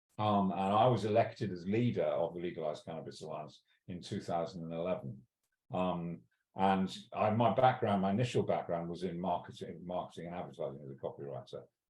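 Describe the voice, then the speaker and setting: A man with a Welsh accent and a very deep, low pitch, at a fairly quick pace with big swings in loudness. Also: ordinary pitch variation. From Wales. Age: 60s. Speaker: cannabis law reform campaigner. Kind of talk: interview. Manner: halting, many fillers and restarts.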